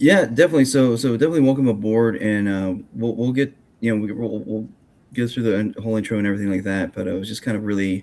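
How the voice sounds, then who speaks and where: Mumbling at a fairly quick pace, a man with a fairly low pitch speaks with ordinary pitch variation. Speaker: podcast host and grappling commentator. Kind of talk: casual chat. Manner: halting.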